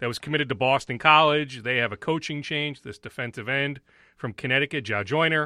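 With a plain, everyday voice, a man talks at a fairly quick pace and fairly high pitch, his intonation fairly even. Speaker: TV sports reporter. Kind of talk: casual sports talk. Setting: studio.

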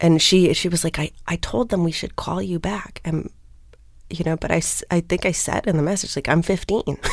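With an American accent, a woman speaks at a moderate pace in a fairly low pitch, showing ordinary pitch variation and vocal fry. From US Midwest, Minneapolis. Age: 30s. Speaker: music critic and editor. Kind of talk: interview. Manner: halting, many restarts.

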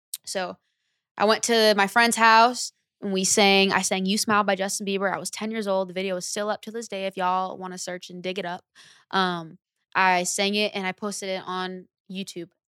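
A woman with an American accent speaks at a medium pitch and a fairly quick pace, her tone bright and sharp. Her intonation is flat and monotone, her loudness swings a lot, and the recording is very clean with a silent background. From Lodi, Northern California. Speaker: singer. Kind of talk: casual chat.

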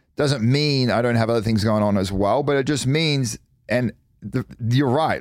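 On a very clean recording with a silent background, a man with an Australian accent and a medium pitch speaks at a fairly quick pace with ordinary pitch variation. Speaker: former pro athlete, reality TV personality. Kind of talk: casual chat. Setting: studio.

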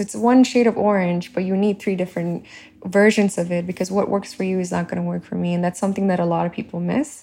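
A woman's dark, mellow tone at a medium pitch, with a Telugu accent and a fairly quick pace. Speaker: beauty brand founder. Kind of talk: interview. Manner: halting.

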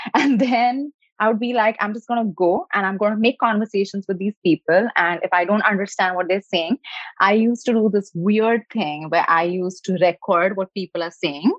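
With an Indian accent, a woman talks at a moderate pace and medium pitch, using ordinary pitch variation. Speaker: nutritionist and health coach. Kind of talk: interview.

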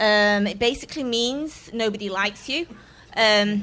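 Spoken in an English accent at a moderate pace, the voice has ordinary pitch variation. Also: woman. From England. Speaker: comedian. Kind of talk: stand-up. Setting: stage with audience.

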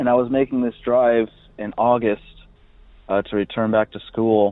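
A man with an American accent talks at a moderate pace in a monotone, flat delivery. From US West Coast. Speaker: caller. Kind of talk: telling a story. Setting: phone call.

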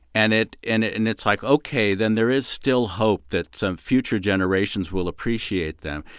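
On a very clean recording with a silent background, a man with a plain, everyday voice speaks in a dry, close sound with no echo. His fairly low pitch shows ordinary variation at a moderate pace, with hardly any pauses. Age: 60s. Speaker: writer. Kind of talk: casual chat.

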